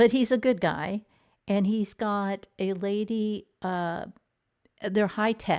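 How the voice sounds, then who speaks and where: A woman is speaking. The recording is very clean with a silent background. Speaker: drama review channel host. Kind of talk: casual live stream chat. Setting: live stream while traveling. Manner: hesitant, many fillers.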